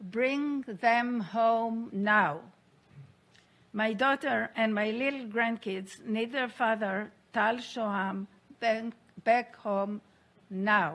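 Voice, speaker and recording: Over a quiet background, a woman with a fairly high pitch speaks at a very slow pace, with ordinary pitch variation and long, frequent pauses. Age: 60s. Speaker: hostage survivor and aid organization founder. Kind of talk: testimony. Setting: UN Security Council meeting. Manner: formal.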